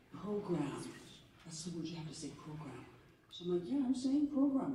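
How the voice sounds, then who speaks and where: Noticeable background noise runs under speech at a moderate pace. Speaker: actor interviewing fellow actor. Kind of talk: panel conversation.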